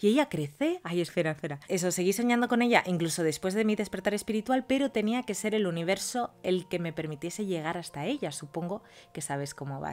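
A woman's speech runs fairly quickly, her intonation lively. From Spain. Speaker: youtuber telling follower stories. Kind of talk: reading aloud listener stories with comments. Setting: at home. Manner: animated. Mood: animated, expressive. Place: home room.

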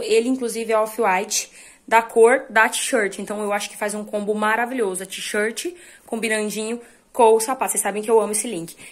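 A woman speaks at a fairly high pitch and a fairly quick pace. Her intonation stays fairly even. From Brazil. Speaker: fashion vlogger. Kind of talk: casual vlog talk. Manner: fast. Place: home room. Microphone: phone near.

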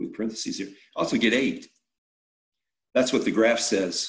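A male speaker, quiet background. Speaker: math teacher. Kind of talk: lecture. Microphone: phone near.

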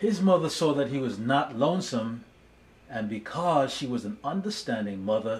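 A man talks at a fairly slow pace in a gentle, warm tone. His pitch swings very widely. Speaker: speech therapist and storybook reader. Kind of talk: children's storybook narration, read aloud. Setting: video channel, solo recording. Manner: gentle, slow and warm, storyteller pacing. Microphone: phone near.

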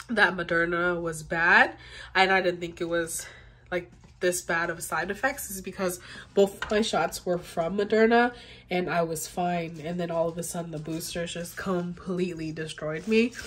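This woman has an unremarkable speaking voice, fairly low in pitch, with fairly even intonation. She talks at a moderate pace over light background noise. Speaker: vlogger. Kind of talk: casual vlog chat. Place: home room. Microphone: phone near.

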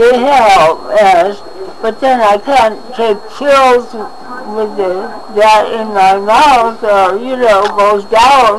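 Very slow delivery with ordinary pitch movement, over noticeable background noise. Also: woman, fairly high pitch for a woman. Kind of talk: casual conversation on camera.

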